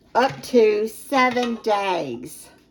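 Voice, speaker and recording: Noticeable background noise sits behind a woman speaking with an American accent. Her voice is fairly high and her intonation lively. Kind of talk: casual cooking tutorial to camera.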